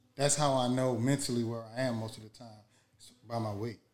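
This man talks at a fairly quick pace. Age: 40s. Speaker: podcast co-host. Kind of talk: casual chat. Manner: animated.

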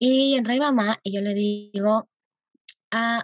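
A fairly high pitch marks this voice. It belongs to a woman. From Arequipa, Peru. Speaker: youth activist and nonprofit founder. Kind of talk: interview conversation. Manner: halting with many fillers.

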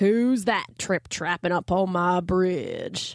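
At a very slow pace, a female-sounding put-on character voice comes through on a very clean recording with a silent background. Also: medium pitch for a woman. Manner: gruff, challenging.

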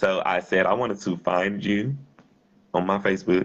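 His voice sits very deep and low. This man keeps to a moderate tempo. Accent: Louisiana. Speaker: podcast host. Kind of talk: casual chat. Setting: phone call.

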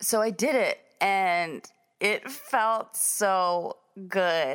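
An animated-sounding woman on a very clean recording with a silent background. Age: 50s. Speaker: podcast host and business owner. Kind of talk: casual monologue.

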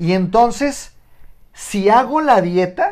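With a Mexican accent, a man talks in an animated tone with lively intonation. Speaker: nutritionist. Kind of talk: casual chat.

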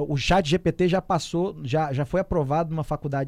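This man has an ordinary speaking voice, fairly high in pitch with ordinary pitch variation, talking at a moderate pace on a very clean recording with a silent background. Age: 30s. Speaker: entrepreneurship commentator. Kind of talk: radio talk show. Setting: studio.

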